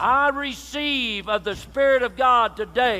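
A man's extremely high voice at a very slow pace, with ordinary pitch variation. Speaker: pastor leading prayer. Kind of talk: sermon. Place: church.

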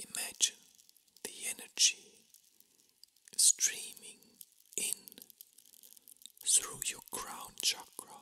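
A man whispers very slowly, leaving long, frequent pauses between his words. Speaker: reiki master. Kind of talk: guided meditation. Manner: whispering.

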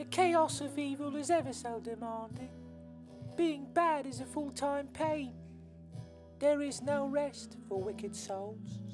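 A female-sounding voice performs a put-on character voice at a fairly slow pace with long, frequent pauses, while clear music plays in the background. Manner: weary, complaining.

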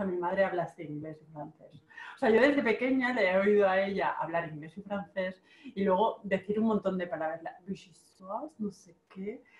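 A woman speaks at a medium pitch, her loudness swinging widely. Noticeable background noise runs underneath. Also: ordinary pitch variation, moderate pace. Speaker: online marketing coach and video host. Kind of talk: casual interview.

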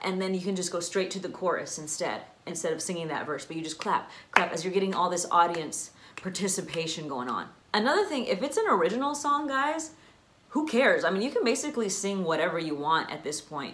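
With audible room echo, a woman talks at a fairly quick pace in a fairly low pitch, her fairly bright tone moving through big pitch swings.

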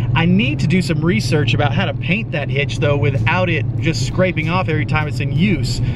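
Amid loud background noise, a man talks, the sound dry with no echo. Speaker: RV travel vlogger. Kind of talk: casual vlog chat. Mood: upbeat, pleased. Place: car. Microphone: phone near.

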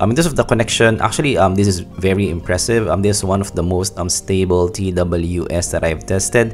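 A man's very deep, low voice at a fairly quick pace, faint music in the background. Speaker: tech reviewer. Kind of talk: product review commentary. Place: home room.

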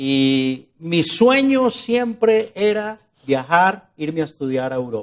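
The man speaks with lively intonation. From Colombia, Bogotá (born in Medellín, moved at 5 or 6); Colombia. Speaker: journalist and interviewee on a success-stories show; journalist, interviewee. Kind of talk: interview. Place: studio. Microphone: lapel.

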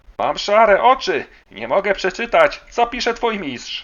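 A man puts on a character voice, high-pitched and shaky. His intonation is lively and his pace moderate. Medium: read story. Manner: kindly, gentle.

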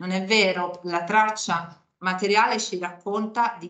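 Her voice is an unremarkable speaking voice at medium pitch, and this woman keeps her intonation fairly even. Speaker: archaeologist. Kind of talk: academic talk. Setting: stage with audience.

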